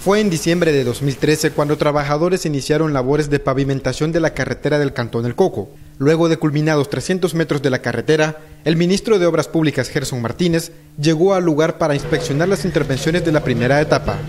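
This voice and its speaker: In a plain, everyday voice, a man speaks at a fairly high pitch and fairly quick pace, with very even loudness and fairly even intonation. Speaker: TV news reporter. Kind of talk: news report.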